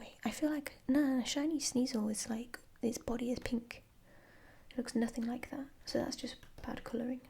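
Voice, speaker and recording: A woman with a British accent speaks in a relaxed, dark, mellow tone at a high pitch, her intonation monotone and flat. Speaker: ASMR creator and mathematics master's student. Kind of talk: ASMR flip-through, casual talk to camera. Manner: soft-spoken, relaxed, slow.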